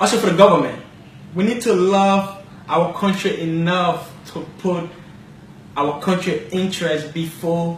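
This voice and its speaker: In a Liberian accent, a man with a high pitch speaks at a fairly slow pace with fairly even intonation, and audible room echo surrounds him. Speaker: talk show host. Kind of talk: commentary monologue.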